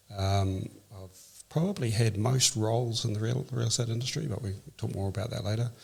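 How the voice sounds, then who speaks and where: A man with a New Zealand accent speaks at a very fast pace. His voice is somewhat breathy, with a medium pitch and ordinary pitch variation. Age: 60s. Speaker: real estate executive. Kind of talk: podcast interview. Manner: calm.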